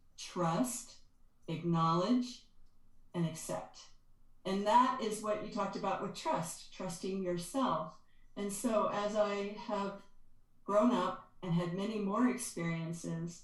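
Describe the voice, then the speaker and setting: Pausing long and often, a woman speaks very slowly at a medium pitch amid audible room echo. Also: ordinary pitch variation. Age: 60s. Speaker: energy healer and author. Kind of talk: interview conversation. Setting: podcast.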